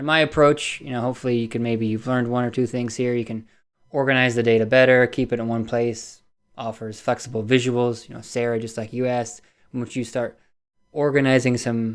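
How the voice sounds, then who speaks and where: Against a quiet background, a man mumbles at a fairly quick pace, his medium-pitched voice monotone and flat. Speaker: fitness data analyst presenter. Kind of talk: webinar presentation. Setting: live online webinar. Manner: mumbling.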